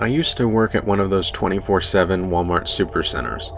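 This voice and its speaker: A man's fairly low voice with lively intonation at a moderate pace, music in the background. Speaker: narrator. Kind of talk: horror story narration.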